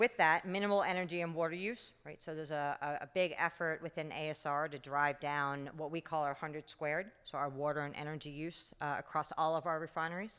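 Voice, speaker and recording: With a New York accent, a woman speaks at a fairly quick pace in a very deep, low pitch, with fairly even intonation and hardly any pauses, on a very clean recording with a silent background. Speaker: refinery general manager. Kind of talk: conference talk.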